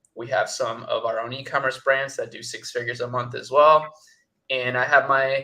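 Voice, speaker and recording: A man is speaking here. He talks with a Spanish accent. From Chile, moved to US at eleven. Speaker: agency founder, ecommerce entrepreneur. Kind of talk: interview. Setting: livestream.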